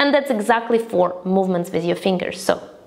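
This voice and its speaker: Over noticeable background noise, a woman talks at a fairly quick pace. Her intonation is lively. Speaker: breathwork teacher. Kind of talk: guided breathing practice instruction. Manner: calm, instructive.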